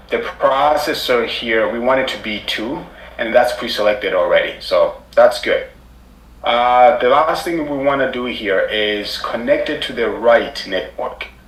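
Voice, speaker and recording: There is audible room echo as a man talks. He speaks at a fairly slow pace. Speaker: cybersecurity instructor. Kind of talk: live tutorial. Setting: live online class with screen sharing.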